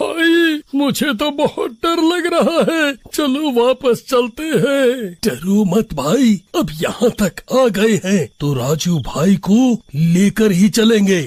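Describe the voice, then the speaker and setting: A cartoonish character voice from a man at an extremely high pitch, very slow in pace and with hardly any pauses. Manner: scared, stammering.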